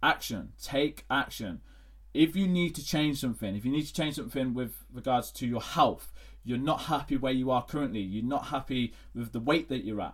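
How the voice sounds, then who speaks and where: On a very clean recording with a silent background, a man with an English accent speaks at medium pitch and a moderate pace, with ordinary pitch variation. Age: 20s. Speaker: fitness coach. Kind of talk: solo podcast monologue. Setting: home recording at laptop. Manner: halting.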